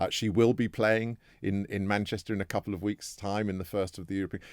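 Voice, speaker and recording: A man's fairly low voice with a British accent, at a fairly quick pace, in a very clean recording with a silent background and a dry, close sound with no echo. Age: 60s. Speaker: former sports federation chair. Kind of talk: heated debate.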